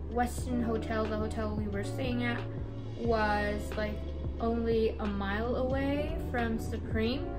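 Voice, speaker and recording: Clear music plays in the background as a woman speaks. She goes very slowly, with ordinary pitch variation. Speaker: vlogger. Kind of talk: casual haul vlog chat. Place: home room. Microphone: phone near.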